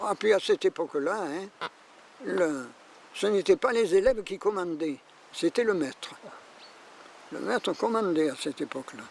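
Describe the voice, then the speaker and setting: Lively intonation at a fairly slow pace with long, frequent pauses, in a dry, close sound with no echo. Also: man, high pitch for a man. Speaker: retired schoolteacher. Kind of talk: documentary interview, reminiscence.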